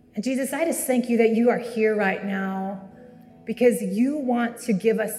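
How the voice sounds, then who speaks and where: Music plays in the background. A woman speaks at a moderate pace with ordinary pitch variation. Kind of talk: guided prayer. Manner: soft-spoken.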